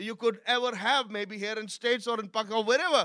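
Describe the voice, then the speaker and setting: A man speaks in a raised, projected voice at an extremely high pitch with a bright, sharp tone. The background is quiet. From Pakistan. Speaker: pastor. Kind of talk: sermon.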